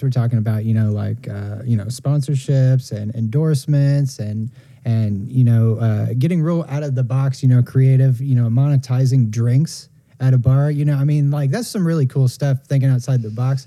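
An unremarkable speaking voice at a fairly quick pace, with hardly any pauses. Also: man. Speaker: podcast co-host. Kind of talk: casual podcast chat.

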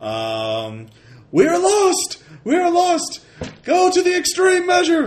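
Doing a put-on character voice, a man bellows at an extremely high pitch and a very slow pace. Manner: bellowing.

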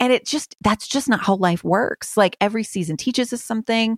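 In a very clean recording with a silent background, a woman with a fairly high pitch speaks at a moderate pace in an animated tone with lively intonation. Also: dry, close sound with no echo. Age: 30s. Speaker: author. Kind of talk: interview.

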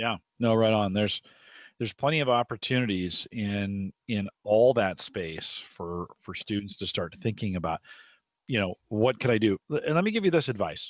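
A man with an unremarkable speaking voice, fairly low pitch, ordinary pitch variation and a moderate pace, recorded dry and close with no echo, very clean with a silent background. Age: 40s. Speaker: tech podcaster and career guest. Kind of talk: casual interview.

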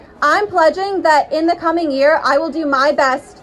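Over crowd noise in the background, a woman with an American accent speaks at a high pitch and moderate pace with fairly even intonation. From South Carolina. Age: 20s. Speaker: nonprofit advocate. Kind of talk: rally speech.

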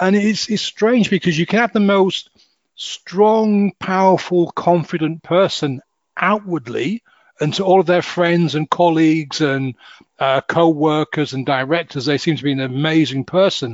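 Speaking at a fairly slow pace with a Hull accent, a man has a high pitch and ordinary pitch variation. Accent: northern English, Hull. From northern England, Hull. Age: 50s. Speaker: hypnotist and life coach. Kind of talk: interview conversation.

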